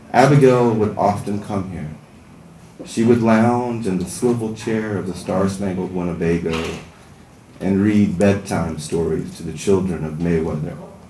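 Someone with an American accent speaks at a moderate pace with ordinary pitch variation, with audible room echo and light background noise. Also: man. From Southern US. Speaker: writer. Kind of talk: fiction reading at open mic. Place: stage.

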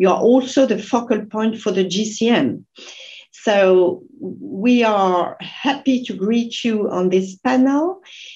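Against a quiet background, a woman with a French accent speaks at a very slow pace in a dark, mellow, somewhat breathy tone with lively intonation. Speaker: panel moderator, international organization official; panel moderator. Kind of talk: moderated panel discussion. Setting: video call. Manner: halting. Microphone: video call.

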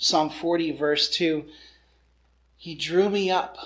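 The man's delivery is fairly unhurried. Intonation remains mostly level throughout. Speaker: preacher. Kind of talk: sermon. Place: home room.

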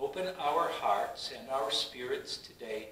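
Amid audible room echo, a man's voice carries a solemn, warm tone. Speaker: pastor leading worship. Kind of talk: online worship service: spoken prayers and words of assurance. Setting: virtual church service streamed online. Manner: fervent, earnest prayer delivery; solemn, measured, warm and pastoral. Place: church. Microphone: camera far.

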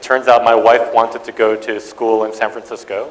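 A man with a medium pitch speaks in a monotone, flat intonation. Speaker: tech executive; guest lecturer. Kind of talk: lecture. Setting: stage with audience. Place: hall.

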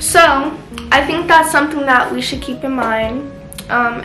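Music comes through clearly in the background. Over it, a woman talks. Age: young. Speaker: lifestyle vlogger. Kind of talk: casual chat. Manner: casual, filler-heavy. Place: home room. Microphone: camera far.

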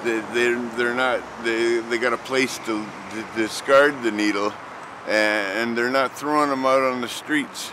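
A man at a fairly slow pace with fairly even intonation, over noticeable background noise. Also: dry sound with no echo. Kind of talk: documentary interview answer. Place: street.

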